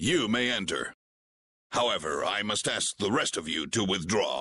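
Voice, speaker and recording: At a medium pitch, a man performs a put-on character voice. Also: moderate pace. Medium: video game. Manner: polite, formal.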